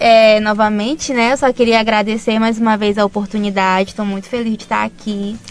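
A woman speaks in a normal speaking voice at a fairly high pitch. Her intonation is fairly even and her pace moderate. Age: 20s. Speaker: physiotherapy student. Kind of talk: radio interview.

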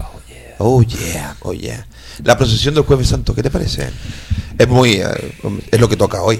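Over music in the background, a man speaks at a fairly slow pace with big swings in loudness. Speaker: radio host. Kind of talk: casual chat. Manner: animated.

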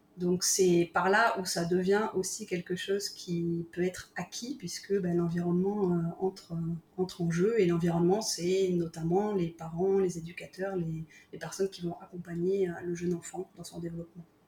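With noticeable background noise behind her, a woman talks at a moderate pace in a fairly low pitch with monotone, flat intonation. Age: 40s. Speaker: creative workshop founder. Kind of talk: interview. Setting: remote call. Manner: hesitant.

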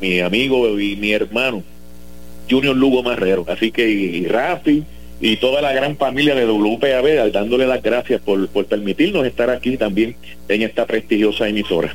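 Here is a man with an unremarkable speaking voice at medium pitch. He talks at a fairly slow pace with ordinary pitch variation. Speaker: sports radio host. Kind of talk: casual chat.

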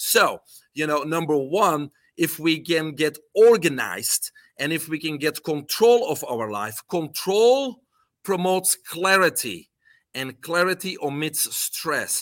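Very slowly, a man with a Belgian accent speaks in a fairly high pitch. The sound is dry and close with no echo, in a very clean recording with a silent background. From Belgium. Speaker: health coach and supplement entrepreneur. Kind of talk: interview.

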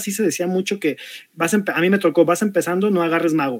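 A man's high-pitched voice moves at a fairly quick pace. The sound is dry and close, with no echo. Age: 40s. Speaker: tabletop RPG game master. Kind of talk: panel discussion.

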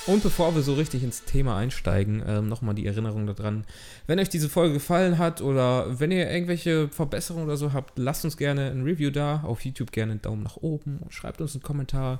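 A man talks at a very fast pace. His fairly high voice carries lively intonation. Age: 20s. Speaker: podcast host, film student. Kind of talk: casual chat. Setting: studio, recorded on camera.

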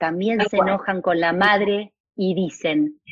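A woman's medium-pitched voice at a very slow pace. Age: 50s. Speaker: family constellations facilitator and school director. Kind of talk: casual chat.

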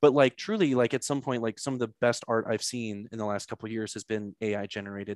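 Over a quiet background, a man with an American accent and a medium pitch talks at a very fast pace with hardly any pauses and fairly even intonation, the sound dry and close with no echo. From St. Louis, Missouri, US. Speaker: podcast host. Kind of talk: casual interview conversation. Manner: halting, many fillers.

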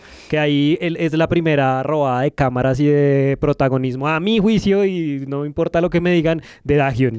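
At a moderate pace and with hardly any pauses, a man talks in an ordinary speaking voice, fairly high in pitch and with ordinary pitch variation. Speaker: podcast guest, K-pop fan. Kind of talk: casual chat.

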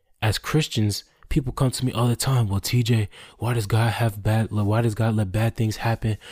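A man's medium-pitched, somewhat breathy voice at a moderate pace, monotone and flat, with a dry, close sound and no echo. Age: 20s. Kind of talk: solo devotional talk.

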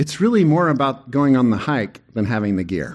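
Very wide pitch swings from a man at a moderate pace, against a quiet background. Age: 50s. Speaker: pastor. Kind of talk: sermon. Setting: church.

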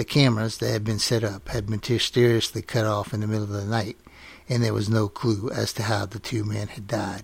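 A man talks at a fairly quick pace in a fairly low pitch. His voice is somewhat breathy, with monotone, flat intonation. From Louisiana Cajun country (Lafayette). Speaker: podcast host, folklore storyteller. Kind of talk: scripted narration.

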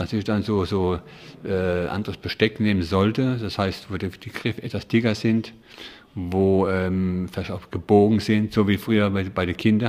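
The tone is slightly mellow. Delivery is at a moderate pace with fairly even intonation. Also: man, low pitch for a man.

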